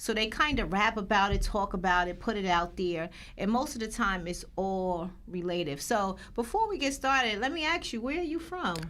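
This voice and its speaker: In a room with audible echo, a woman with a New Jersey accent and a fairly high pitch talks at a moderate pace with hardly any pauses and very wide pitch swings. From Paterson, New Jersey. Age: 40s. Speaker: podcast host. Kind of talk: interview.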